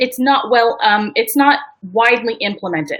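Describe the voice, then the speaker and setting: Raised and projected, a woman's voice with an American accent has a bright, sharp tone. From New York. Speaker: business strategist. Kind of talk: live webinar presentation. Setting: live video stream. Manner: fast.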